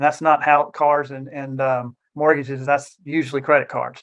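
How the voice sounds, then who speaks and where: A man speaks at a fairly quick clip in a fairly high voice, his intonation monotone and flat. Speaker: financial advisor. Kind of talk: educational presentation. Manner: fast.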